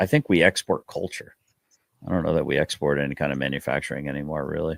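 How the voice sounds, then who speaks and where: A man talks at a very fast pace with vocal fry. The sound is dry and close, with no echo. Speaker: livestream host. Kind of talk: casual chat. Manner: animated.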